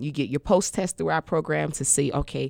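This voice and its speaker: On a very clean recording with a silent background, a woman speaks in a very deep, low pitch with vocal fry. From Washington D.C. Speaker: non-profit founder. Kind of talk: interview.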